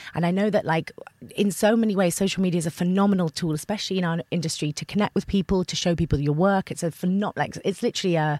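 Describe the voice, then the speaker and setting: A woman's very fast, medium-pitched voice with an English accent, dark and mellow in tone, fairly even in intonation, dry and close with no echo. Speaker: actor. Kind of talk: casual chat.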